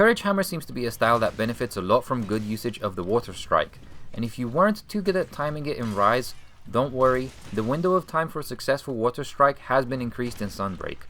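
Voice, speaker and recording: Speaking at a very fast pace with a non-native accent, a man uses a bright, sharp tone at medium pitch with very wide pitch swings. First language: not English. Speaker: video game tutorial creator. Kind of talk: game tutorial voice-over.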